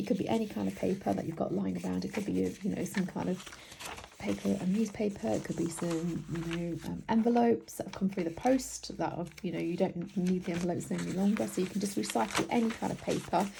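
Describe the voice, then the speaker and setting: Speaking fairly quickly with lively intonation, a woman with a British accent and a fairly low pitch comes through over noticeable background noise. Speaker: craft tutorial maker. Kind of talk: tutorial.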